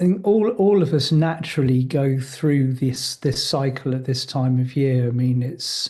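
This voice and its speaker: A man with a dark, mellow, somewhat breathy tone talks at medium pitch and a moderate pace, with ordinary pitch variation and hardly any pauses. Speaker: spiritual teacher. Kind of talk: casual conversation.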